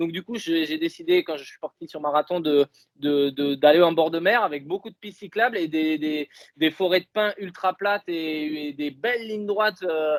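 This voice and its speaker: In a southwestern French accent, a man with a high pitch talks at a moderate pace, with ordinary pitch variation and big swings in loudness. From southwest France, Dordogne (Bergerac). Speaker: elite marathon runner. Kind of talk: interview. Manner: hesitant, many fillers.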